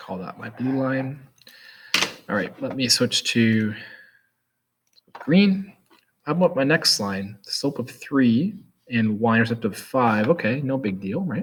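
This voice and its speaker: Speaking at a very slow pace, a man with a medium-pitched voice uses lively intonation. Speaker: math teacher. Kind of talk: tutorial.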